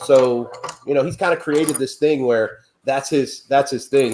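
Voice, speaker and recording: Speaking fairly slowly, a man uses a fairly high pitch. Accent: slight Midwestern. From Ohio, US Midwest. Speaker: pumpkin carver. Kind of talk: casual chat.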